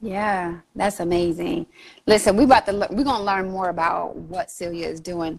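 A woman at medium pitch with ordinary pitch variation and a moderate pace. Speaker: podcast host. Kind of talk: podcast interview. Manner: warm, enthusiastic.

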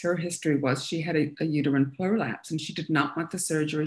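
Speaking at a fairly quick pace, a woman with a very deep, low pitch keeps her intonation fairly even. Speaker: Feldenkrais practitioner and massage therapist. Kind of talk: interview. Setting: live stream. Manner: halting, many fillers.

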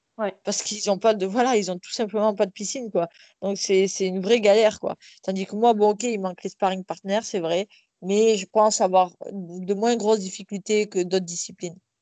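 Against a quiet background, a voice with a dark, mellow tone speaks at a moderate pace in a monotone, flat intonation. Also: woman, medium pitch for a woman. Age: 30s. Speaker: professional boxer and police officer. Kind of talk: interview.

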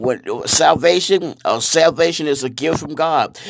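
A man speaks in an animated tone at a moderate pace, his pitch varying in an ordinary way. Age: 60s. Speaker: preacher. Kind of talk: sermon-style monologue.

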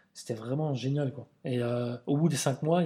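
A man talks at a moderate pace in a medium-pitched voice. His intonation stays fairly even. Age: 40s. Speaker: calligrapher and graffiti artist. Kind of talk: casual interview. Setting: studio.

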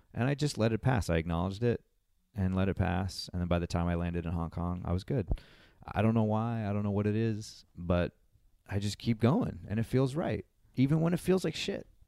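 A man with a New England accent speaks at a fairly low pitch. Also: fairly quick pace. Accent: New England American. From Massachusetts, US. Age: 30s. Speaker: traveler and musician. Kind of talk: casual chat. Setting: restaurant.

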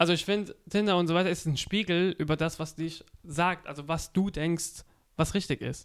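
In a very clean recording with a silent background, the talking proceeds at a moderate speed. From Offenburg, Baden, Germany. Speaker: podcast host. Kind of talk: casual chat. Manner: halting.

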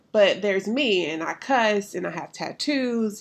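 A woman with a medium pitch talks in an animated tone at a moderate pace over a quiet background. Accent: Southern US. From US South, Alabama. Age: 30s. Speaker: podcast host, counselor and pastor. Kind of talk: casual monologue.

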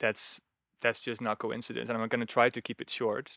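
A man with a Dutch accent is heard in a dry, close sound with no echo, on a very clean recording with a silent background. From Netherlands. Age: 30s. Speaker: retreat facilitator. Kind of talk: casual interview.

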